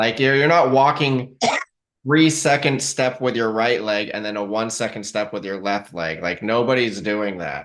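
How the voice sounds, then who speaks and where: This is an ordinary speaking voice at a moderate pace. The intonation is lively. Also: man, medium pitch for a man. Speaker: podcast host. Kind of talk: podcast interview host talk.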